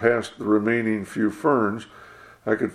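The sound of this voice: An unforced reading voice carries the clip.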